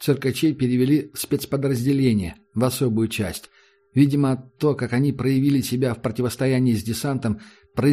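Fairly even intonation accompanies this plain reading aloud.

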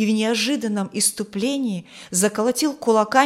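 Ordinary pitch variation throughout some plain reading aloud

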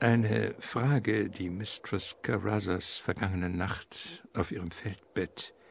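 Slow and low-pitched, a man speaks with vocal fry, a slightly husky edge and fairly even intonation.

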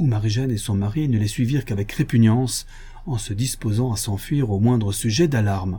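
An unforced reading voice. The pitch varies in an ordinary way.

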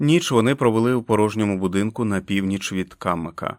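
Someone reads a passage. The delivery is an unforced reading voice.

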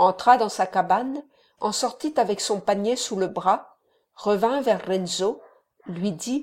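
The speaker reads in an unforced reading voice with ordinary pitch variation. The background is quiet.

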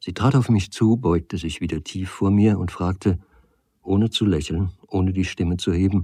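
Quiet background behind a natural reading voice

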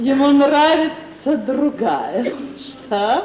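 Using a put-on character voice, a woman speaks very slowly at a high pitch with big pitch swings. Her tone is slightly mellow, and room echo is audible.

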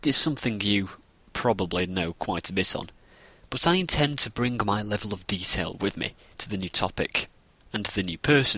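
The voice has a bright, sharp tone and a northern English accent. Its intonation is lively and its pace fairly quick. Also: man. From northern England. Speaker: podcast host. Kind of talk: scripted narration.

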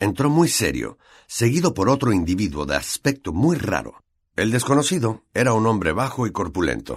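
Against a quiet background, a natural reading voice moves with lively intonation.

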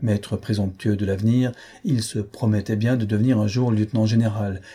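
Fairly even intonation in plain reading aloud.

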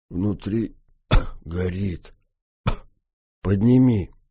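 A man puts on a character voice that is hoarse, raspy and fairly low, with ordinary pitch variation.

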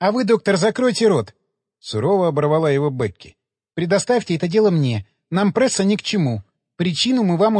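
Plain reading aloud over a quiet background, the intonation lively

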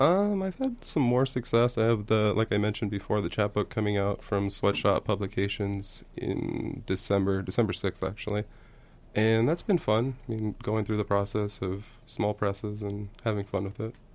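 A man talks at a moderate pace with an American accent, his pitch fairly low. It is a normal speaking voice with fairly even intonation. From Baldwin Park, California. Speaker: poet. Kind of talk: poetry reading and interview.

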